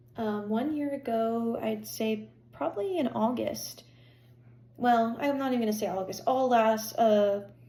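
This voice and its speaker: Audible room echo surrounds the recording. A woman with an American accent speaks at a moderate pace. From Pennsylvania. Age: 20s. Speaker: health vlogger. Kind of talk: personal vlog monologue. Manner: hesitant, many fillers.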